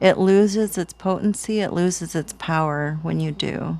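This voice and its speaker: A woman talks in an ordinary speaking voice, pitched fairly low. Her pace is fairly slow. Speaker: tarot and tea leaf reader. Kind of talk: spiritual reading. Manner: casual.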